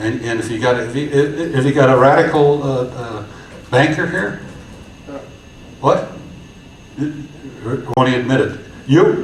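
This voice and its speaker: Long, frequent pauses amid audible room echo and noticeable background noise. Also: man, fairly high pitch for a man. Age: 70s. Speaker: community organizer. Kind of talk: conference talk. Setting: stage with audience. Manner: halting, many repetitions; animated.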